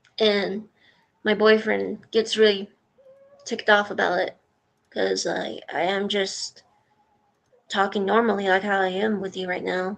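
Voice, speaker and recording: A woman talks at a fairly slow pace with a calm tone and monotone, flat intonation. Long, frequent pauses break up her speech. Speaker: voice actor and streamer. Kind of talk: casual chat. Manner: calm, rarely yells.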